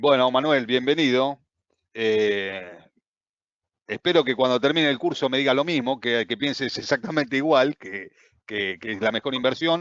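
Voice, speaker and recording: A man with an Argentine accent talks at a moderate pace and medium pitch, with ordinary pitch variation. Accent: Argentine Spanish (Rioplatense). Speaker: trading course instructor. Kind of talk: online class.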